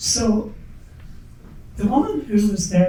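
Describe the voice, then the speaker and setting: A woman speaks with ordinary pitch variation. Noticeable background noise and audible room echo are present. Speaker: school founding parent, former nurse. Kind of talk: panel talk, personal story. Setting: event hall with audience, microphone.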